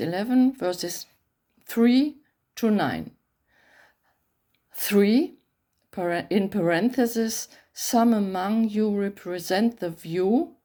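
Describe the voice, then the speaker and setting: Pausing long and often, a woman speaks at a very slow pace with a fairly high pitch, ordinary pitch variation and a dark, mellow tone, captured on a very clean recording with a silent background. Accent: German. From Germany. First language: German. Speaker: bible translator. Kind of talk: reading aloud; talk to camera.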